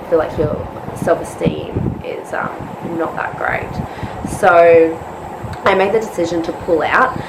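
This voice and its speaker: In an Australian accent, a woman with a fairly low pitch speaks at a very slow pace with long, frequent pauses, over noticeable background noise. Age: 20s. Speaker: nurse and bikini fitness competitor. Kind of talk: casual vlog talk to camera. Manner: hesitant, many fillers.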